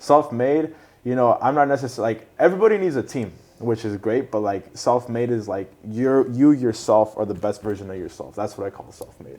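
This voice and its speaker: This man talks at a fairly quick pace and medium pitch. His tone is dark and mellow, with ordinary pitch variation. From Southern California, Orange County (Costa Mesa). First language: Spanish. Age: 20s. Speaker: singer and rapper. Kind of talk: casual interview. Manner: casual, many fillers.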